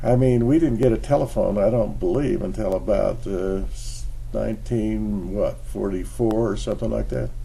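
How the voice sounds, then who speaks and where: The speech runs on with hardly any pauses. Audible room echo and noticeable background noise fill the recording. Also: man, moderate pace. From Utah, Salt Lake City. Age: 80s+. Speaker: retired engineer sharing life lessons. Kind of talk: casual monologue vlog. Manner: halting.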